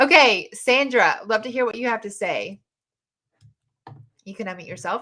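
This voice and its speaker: A woman at a moderate pace with long, frequent pauses, fairly high in pitch, bright and sharp in tone, with lively intonation. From US South. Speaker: podcast host and dating mentor. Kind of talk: live audio chat room discussion. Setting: online live audio room.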